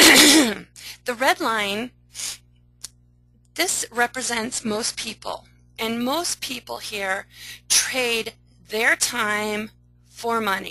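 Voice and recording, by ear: A woman uses a put-on character voice, hoarse and fairly high-pitched, with ordinary pitch variation. She talks at a very slow pace, leaving long, frequent pauses.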